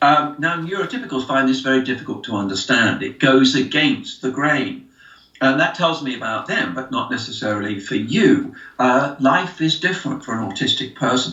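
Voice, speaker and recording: Noticeable background noise sits behind a man whose pitch is fairly high. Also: lively intonation, moderate pace. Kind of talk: interview answer. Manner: expressive.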